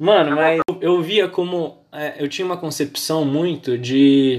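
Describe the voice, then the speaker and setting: A man speaks at a very slow pace. His voice is fairly high with fairly even intonation. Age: 20s. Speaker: podcast host. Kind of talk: casual chat.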